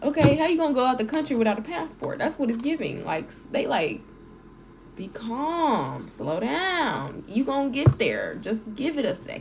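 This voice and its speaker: There is noticeable background noise behind a woman with a high voice. She talks at a moderate pace with very wide pitch swings. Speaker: tarot reader. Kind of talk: tarot reading. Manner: animated.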